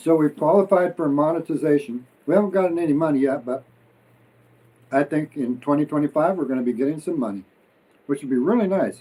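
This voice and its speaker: A man speaks at a fairly quick pace with a fairly high pitch, a dark, mellow tone and ordinary pitch variation. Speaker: expat vlogger. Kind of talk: casual chat, mukbang livestream. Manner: energetic.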